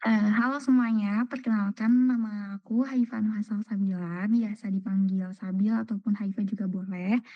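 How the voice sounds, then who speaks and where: In a dry, close sound with no echo, a woman speaks at a moderate pace and medium pitch, her dark, mellow tone somewhat breathy. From Indonesia, Cirebon. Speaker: new university student. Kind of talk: self-introduction on video call. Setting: video call.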